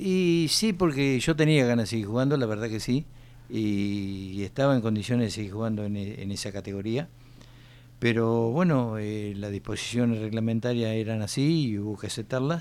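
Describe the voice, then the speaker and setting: A man talks at a moderate pace in a normal speaking voice. His pitch sits in the medium range with ordinary variation. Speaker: former footballer. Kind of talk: radio interview.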